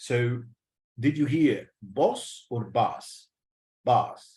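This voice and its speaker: This man has a British accent and a medium pitch. His voice is somewhat breathy. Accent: British-leaning English. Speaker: English teacher. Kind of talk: lecture. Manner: repetitive, slow and deliberate.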